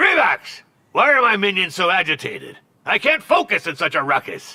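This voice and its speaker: A man puts on a cartoonish character voice pitched high. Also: moderate pace. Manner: imperious, curt, penny-pinching.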